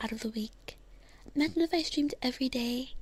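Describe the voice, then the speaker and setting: At a moderate pace, a woman talks in a high pitch. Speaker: livestreamer. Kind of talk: ASMR livestream chat. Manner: soft, close-mic ASMR style.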